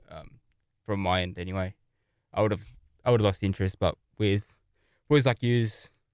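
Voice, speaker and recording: On a very clean recording with a silent background, a man's fairly low voice comes through dry and close with no echo, with long, frequent pauses and big swings in loudness. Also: fairly even intonation, moderate pace. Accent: Australian. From Australia. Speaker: podcast co-host, gaming group founder. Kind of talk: casual chat. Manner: halting, many fillers.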